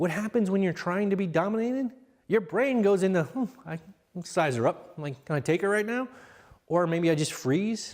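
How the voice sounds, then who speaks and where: Loud and animated, a man speaks at a moderate pace in a high voice with lively intonation. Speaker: parenting seminar speaker. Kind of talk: seminar talk to parents.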